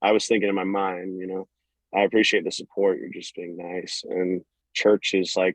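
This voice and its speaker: The speaker uses a Southern US accent at a moderate pace, in a flat monotone with big swings in loudness and a dry, close sound with no echo. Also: man, very deep, low pitch for a man. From US South, North Florida. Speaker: country singer. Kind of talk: casual interview. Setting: phone call.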